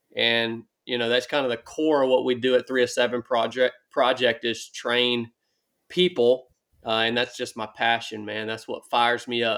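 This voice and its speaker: A man with a Southern US accent at a medium pitch, moderate pace and fairly even intonation, in a very clean recording with a silent background. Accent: Southern US (Georgia). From US South, northwest Georgia. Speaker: former Navy SEAL and ultra runner. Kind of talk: interview conversation.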